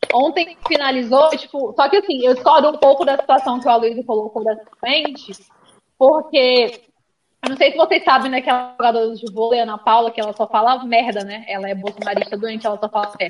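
Ordinary pitch variation at a fairly quick pace. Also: woman, high pitch for a woman. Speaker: sports show host. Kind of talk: casual chat about football.

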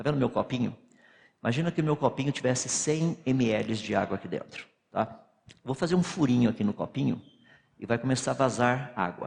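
Vocal fry at a fairly quick pace, broken by long, frequent pauses. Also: man, medium pitch for a man, ordinary pitch variation. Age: 60s. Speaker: physicist and creationist lecturer. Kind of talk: lecture.

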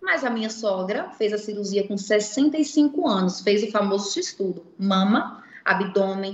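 A woman's somewhat breathy, fairly high voice in a Pernambuco accent, with lively intonation. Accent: Pernambuco (northeastern Brazilian). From Recife, northeastern Brazil. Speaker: founder of a cosmetic surgery financing project. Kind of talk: interview. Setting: livestream.

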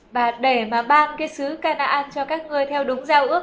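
Against noticeable background noise, a woman with a high pitch speaks at a very slow pace with fairly even intonation. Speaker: interpreter for Bible teacher. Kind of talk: consecutive interpretation of a Bible lecture.

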